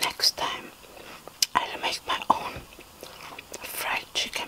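Whispering, a woman speaks at a very slow pace. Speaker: ASMR eating creator. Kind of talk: ASMR eating video, casual talk to camera. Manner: whispered, soft. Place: home room. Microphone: phone near.

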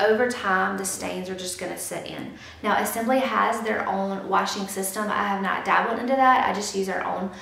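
The voice moves through ordinary pitch variation, and an audible room echo surrounds it. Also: woman. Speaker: YouTuber, mother. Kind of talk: product review tutorial. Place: home room.

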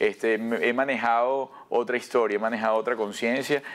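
Here is a man with a medium pitch. He speaks in a flat monotone. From Venezuela. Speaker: broadcaster and actor; actor. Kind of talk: TV interview. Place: studio. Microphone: lapel.

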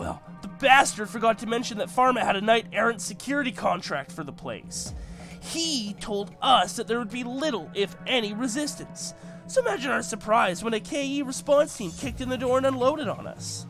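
Over clear background music, a put-on character voice speaks at a moderate pace with a fairly high pitch. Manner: desperate, pleading, fast-talking.

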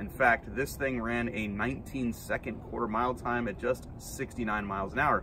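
A man with a bright, sharp tone, vocal fry and ordinary pitch variation is heard in a dry sound with no echo over noticeable background noise. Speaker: car show host. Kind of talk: casual vlog chat. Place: street. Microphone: phone near.

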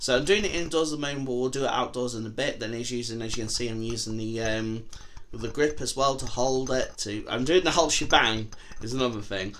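A man talks at a very fast pace. His pitch variation is ordinary. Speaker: product reviewer. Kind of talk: casual vlog chat. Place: home room. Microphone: handheld.

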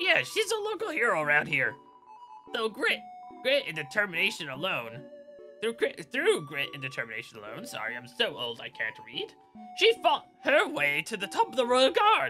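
Over clear background music, a man in a put-on character voice speaks with long, frequent pauses. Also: moderate pace. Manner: frail, creaky.

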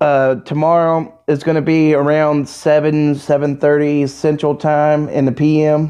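A man's dark, mellow tone over a quiet background. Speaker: youtuber reacting to video. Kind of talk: casual vlog chat. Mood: amused, laughing. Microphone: phone near.

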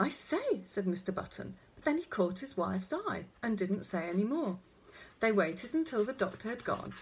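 An unforced reading voice carries the text.

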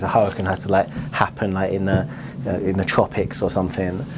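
Noticeable background noise under a man talking at a moderate pace. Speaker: presenter. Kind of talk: casual vlog chat. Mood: amused, jokey. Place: shop. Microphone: lapel.

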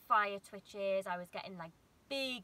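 A woman talks at a moderate pace. Her tone is bright and sharp. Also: dry sound with no echo. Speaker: vlogger. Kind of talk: casual vlog chat. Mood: reflective, candid about anxiety. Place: car. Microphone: phone near.

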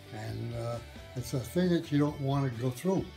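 The pace of speaking is moderate. Behind it, clear music can be heard. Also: man. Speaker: war veteran. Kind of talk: interview answer. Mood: somber, reflective. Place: home room. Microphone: phone near.

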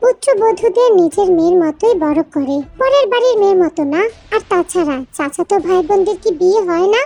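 A woman uses a put-on character voice at an extremely high pitch. Her pace is moderate. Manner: grave, firm.

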